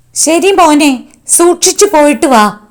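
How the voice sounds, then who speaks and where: A squeaky, put-on character voice. The intonation is lively. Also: woman, high pitch for a woman. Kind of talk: comic overacting. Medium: comedy sketch. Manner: demanding, petulant.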